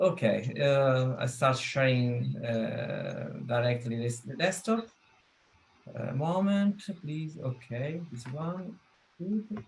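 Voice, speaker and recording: A man at medium pitch with lively intonation and a very slow pace, over noticeable background noise. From Italy. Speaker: hobbyist game developer. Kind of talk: presentation. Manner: halting.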